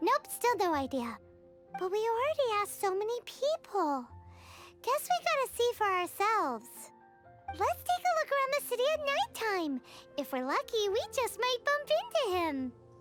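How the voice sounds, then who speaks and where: A put-on, squeaky character voice at an extremely high pitch swings very widely up and down, with clear music playing in the background. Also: moderate pace. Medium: video game. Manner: excitable, blunt.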